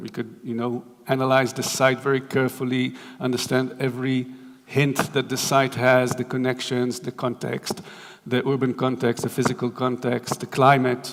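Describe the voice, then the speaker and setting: A man speaks at medium pitch and a moderate pace, his intonation flat and monotone. Background noise is noticeable. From Israel. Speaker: architect. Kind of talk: lecture. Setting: stage with audience. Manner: halting, many fillers.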